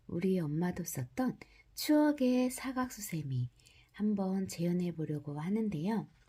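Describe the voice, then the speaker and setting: At a very slow pace, a woman speaks in a dark, mellow, somewhat breathy voice of medium pitch, with very wide pitch swings. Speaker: crochet instructor. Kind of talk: crochet tutorial narration. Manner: subdued, low-energy; slow, step-by-step.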